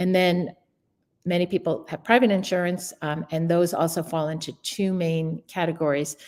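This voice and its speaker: Using fairly even intonation, a woman speaks at a fairly low pitch. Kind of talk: online workshop presentation. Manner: fast.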